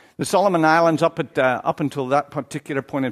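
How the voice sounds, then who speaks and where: A man speaks with an Irish accent and ordinary pitch variation. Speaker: Baptist church leader, visiting preacher. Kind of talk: sermon. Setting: church.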